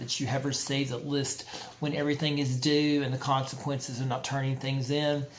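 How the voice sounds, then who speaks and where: With noticeable background noise and audible room echo, a man speaks in a fairly high pitch with monotone, flat intonation. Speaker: college instructor. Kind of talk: lecture. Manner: fast; halting.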